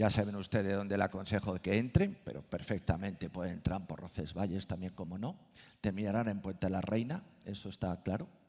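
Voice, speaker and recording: With an unremarkable speaking voice, a man talks at a fairly quick pace, his pitch fairly low and his intonation fairly even. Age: 60s. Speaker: Camino de Santiago expert. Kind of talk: panel discussion.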